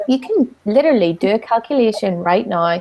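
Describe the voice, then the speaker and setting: A woman with a Northern Irish accent speaks in a fairly high voice, her pitch swinging very widely. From Northern Ireland. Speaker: business coach. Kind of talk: online talk.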